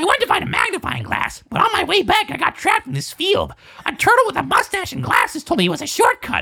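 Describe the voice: A put-on character voice, extremely high and very fast.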